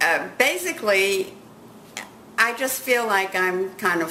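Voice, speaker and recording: A woman talks fairly slowly with noticeable background noise behind her. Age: 80s+. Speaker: magazine editor and writer. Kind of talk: interview.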